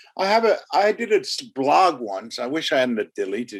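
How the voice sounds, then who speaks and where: A man speaks at a moderate pace. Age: 70s. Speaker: music manager. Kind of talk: podcast interview. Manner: halting.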